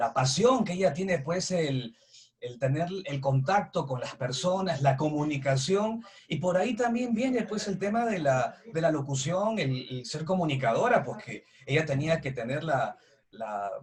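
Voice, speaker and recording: A man talks at a fairly slow pace in a fairly high pitch, with very wide pitch swings. Noticeable background noise is present. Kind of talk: interview host.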